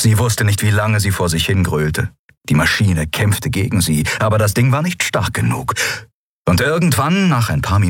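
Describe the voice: The plain reading aloud is heard over a quiet background.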